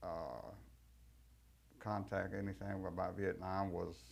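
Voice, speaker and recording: A man talks in a Texan accent at a moderate pace. His voice is very deep and low, with vocal fry. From Texas, Fort Worth. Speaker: war veteran. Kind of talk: testimony. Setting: recorded interview.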